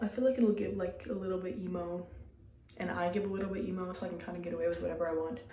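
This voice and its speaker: Very fast speech from a woman with fairly even intonation. There is audible room echo and light background noise. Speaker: beauty vlogger. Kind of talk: casual vlog chat. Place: bathroom. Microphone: phone near.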